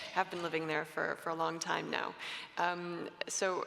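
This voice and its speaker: A woman with a Canadian accent and a fairly low voice at a moderate pace, over noticeable background noise. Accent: Canadian-sounding English. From Canada. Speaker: panelist, policy expert. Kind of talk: panel discussion. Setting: conference stage with audience. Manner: hesitant, many fillers.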